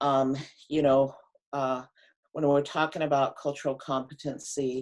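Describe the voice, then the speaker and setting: The voice belongs to a woman. It sits at a very deep, low pitch. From Pine Ridge Reservation, South Dakota. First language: Lakota. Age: 50s. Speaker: public health officer. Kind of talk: presentation. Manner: halting, many fillers.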